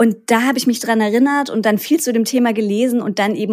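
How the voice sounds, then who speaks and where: A woman with a plain, everyday voice, fairly high in pitch, speaks at a fairly quick pace with ordinary pitch variation in a very clean recording with a silent background. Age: 30s. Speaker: gut health podcaster and patient expert. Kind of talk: interview.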